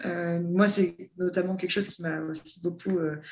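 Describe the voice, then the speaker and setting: A woman's fairly low, monotone voice with flat intonation at a fairly slow pace. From southern France (near Toulon). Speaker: head of human resources. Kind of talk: interview.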